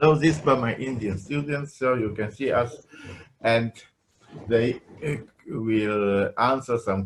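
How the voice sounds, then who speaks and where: With a Polish accent, a man talks at a fairly slow pace. His pitch is medium, with ordinary variation. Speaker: professor. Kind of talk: lecture. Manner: halting.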